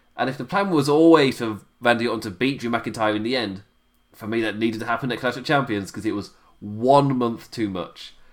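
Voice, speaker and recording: Speaking at a fairly quick pace, a man with a British accent shows ordinary pitch variation. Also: medium pitch for a man. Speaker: wrestling podcast host. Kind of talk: solo review monologue. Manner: halting.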